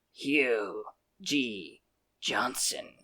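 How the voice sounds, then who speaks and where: A put-on character voice, croaky and raspy, sits at a low-to-middle pitch. The tone is serious. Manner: serious croaked delivery.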